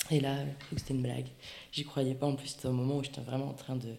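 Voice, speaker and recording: Audible room echo surrounds a woman whose voice is very deep and low in pitch. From French Basque Country (Bayonne). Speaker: ceramicist. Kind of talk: interview. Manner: animated.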